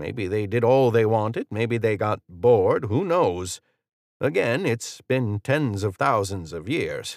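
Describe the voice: Lively intonation marks this plain reading aloud. Nothing can be heard behind it.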